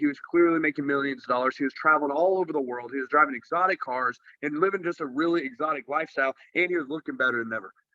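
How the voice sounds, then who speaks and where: With a Texan accent, a man talks at a very fast pace with hardly any pauses, his fairly high voice showing ordinary pitch variation. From Texas. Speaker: network marketer. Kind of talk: business presentation. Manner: casual.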